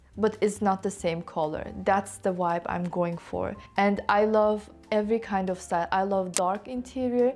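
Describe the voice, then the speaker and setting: A woman with a non-native accent speaks at a medium pitch. Her pace is fairly slow, with ordinary pitch variation. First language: not English. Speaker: lifestyle vlogger. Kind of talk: casual vlog talk to camera. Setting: sitting in a home corner.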